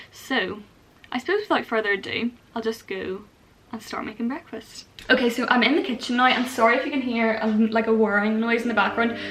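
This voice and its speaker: Fairly quick speech with fairly even intonation, in a Northern Irish accent, comes through over noticeable background noise. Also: woman, fairly high pitch for a woman. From Northern Ireland. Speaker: vlogger. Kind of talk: casual vlog. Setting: home kitchen. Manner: chatty, lots of fillers.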